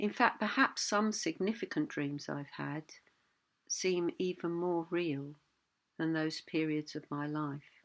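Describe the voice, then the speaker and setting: A woman speaks in a calm tone with ordinary pitch variation. The recording is very clean, with a silent background. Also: fairly low pitch for a woman. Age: 60s. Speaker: Buddhist teacher. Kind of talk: reflective talk. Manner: halting.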